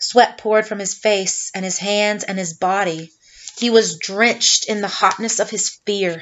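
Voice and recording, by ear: A text is read aloud in a natural voice whose intonation stays fairly even.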